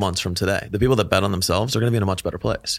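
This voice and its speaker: Pitch for this man sits fairly low, varying in an ordinary way. Nothing intrudes on the very clean recording, whose background is silent. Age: 30s. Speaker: fitness business coach and speaker. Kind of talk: casual chat. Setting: studio. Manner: animated.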